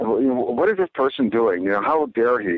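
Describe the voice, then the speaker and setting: A man with an ordinary speaking voice, medium pitch, lively intonation and a fairly slow pace. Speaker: author. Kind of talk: interview conversation.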